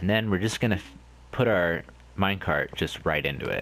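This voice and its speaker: Very deep, low male voice with vocal fry. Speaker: gaming video creator. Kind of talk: casual let's play commentary. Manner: casual, rambling.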